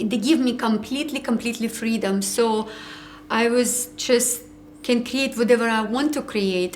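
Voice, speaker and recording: With a non-native accent, a woman talks at a fairly slow pace. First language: not English. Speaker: ceramic artist. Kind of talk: interview.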